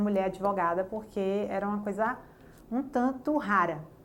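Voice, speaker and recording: There is audible room echo. A woman of medium pitch is speaking. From Bahia, Brazil (Jacobina). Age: 30s. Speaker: lawyer. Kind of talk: interview testimony.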